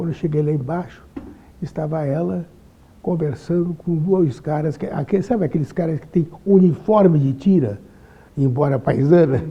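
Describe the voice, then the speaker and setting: A man speaks at a moderate pace, his pitch fairly high and his tone dark and mellow. Ordinary pitch variation runs through his speech, broken by long, frequent pauses. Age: 80s+. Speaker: lawyer. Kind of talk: interview testimony. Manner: halting, repeats words.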